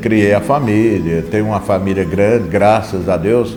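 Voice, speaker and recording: Music plays in the background as a man speaks. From Minas Gerais, Brazil. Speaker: former tailor. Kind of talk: interview answer.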